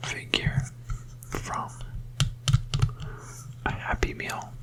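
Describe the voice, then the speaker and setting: A whispering voice with a gentle tone comes through noticeable background noise. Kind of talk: ASMR sleep hypnosis, gentle whispered talk while showing objects. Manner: gentle, whispering, slow.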